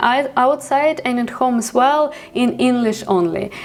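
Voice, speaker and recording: Noticeable background noise surrounds a woman with a high pitch. She talks at a fairly slow pace with ordinary pitch variation. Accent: Ukrainian. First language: Ukrainian. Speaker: vlogger. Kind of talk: vlog monologue. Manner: halting, many fillers.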